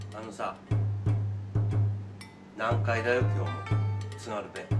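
A man at a fairly slow pace over loud music in the background. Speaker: cafe bar owner. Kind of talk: casual talk to camera. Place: bar. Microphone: camera far.

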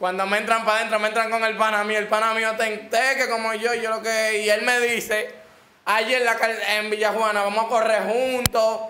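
A man with a Dominican accent speaks in a raised, projected voice at a high pitch, with monotone, flat intonation and very even loudness, amid light background noise and audible room echo. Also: moderate pace. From Dominican Republic. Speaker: rapper; interview guest. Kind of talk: casual interview. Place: studio.

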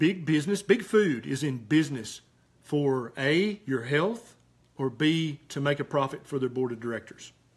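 Over a quiet background, a man with a Southern US accent talks at a moderate pace in a fairly high, somewhat breathy voice with lively intonation. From US South, Tennessee. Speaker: physician; health talk host. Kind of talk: live Q&A. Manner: animated. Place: home room. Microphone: webcam.

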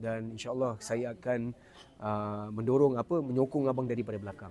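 A man's voice sits at a medium pitch and has a dark, mellow tone. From Singapore. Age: 40s. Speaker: singing competition contestant. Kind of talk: casual interview. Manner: hesitant, many fillers.

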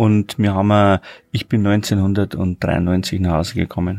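With little pitch movement, a man speaks in a low pitch at a moderate pace, his tone slightly mellow and edged with vocal fry.

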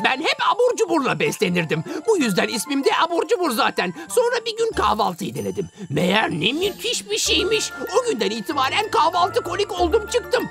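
Faint music plays behind a cartoonish character voice that moves at a fairly quick pace with few pauses, very wide pitch swings, vocal fry and a fairly bright tone.

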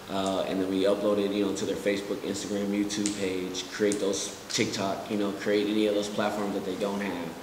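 Against noticeable background noise, a man talks fairly quickly with hardly any pauses, his fairly low voice monotone and flat. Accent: American. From Kansas City, Missouri; Missouri. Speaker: digital marketer; interview guest. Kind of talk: interview. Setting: studio. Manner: casual, many fillers.

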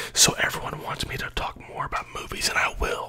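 Soft-spoken whispering over noticeable background noise. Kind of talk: casual vlog chat. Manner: soft-spoken ASMR whisper. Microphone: phone near.

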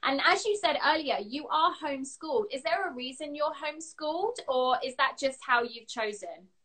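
With a southern English accent, a woman speaks at a moderate pace in a high pitch, her voice making very wide pitch swings with hardly any pauses against a quiet background. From England. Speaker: interview show host. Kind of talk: live video interview. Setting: video call. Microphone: phone near.

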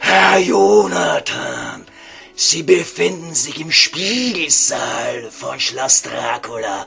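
A raspy put-on character voice, raised and projected, at a very slow pace. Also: man, fairly high pitch for a man. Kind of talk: comic radio sketch, mock-solemn elevated speech. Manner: pompous, formal, courteous, stilted.

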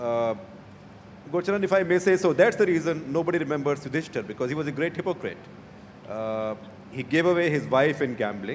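With an Indian accent, a man speaks at a fairly high pitch and a fairly quick pace, his intonation lively over light background noise. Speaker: journalist. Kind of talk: panel discussion. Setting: stage with audience. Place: hall. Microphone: handheld.

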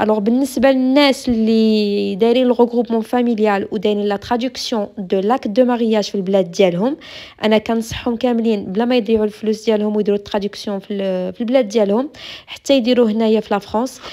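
A woman speaks in a Moroccan accent at a very slow pace. Her fairly high pitch stays in fairly even intonation. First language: Moroccan Arabic (speaking French). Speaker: YouTuber answering immigration questions. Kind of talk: Q&A vlog.

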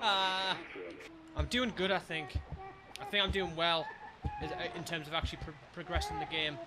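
A man talks at a moderate pace with noticeable background noise behind him. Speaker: gamer, let's play streamer. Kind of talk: gaming commentary. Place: home room. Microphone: studio mic.

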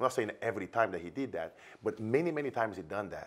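Delivery is animated and fairly quick, in a Brazilian accent. The pitch swings very widely. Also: man. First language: Portuguese. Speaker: business coach. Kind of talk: promotional interview chat. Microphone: lapel.

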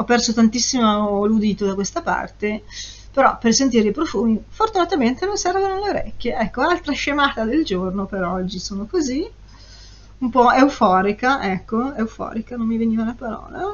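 A woman speaks at a moderate pace in an animated tone, her fairly high pitch swinging very widely. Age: 50s. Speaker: perfume reviewer YouTuber; perfume reviewer. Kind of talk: casual vlog review. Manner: animated, chatty. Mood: euphoric, playful. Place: home room. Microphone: webcam.

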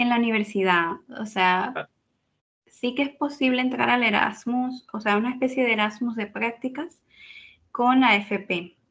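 A woman speaks at a fairly slow pace in a fairly high pitch with ordinary pitch variation. She has an ordinary speaking voice. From Venezuela, Caracas. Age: 20s. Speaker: data scientist. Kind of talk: interview.

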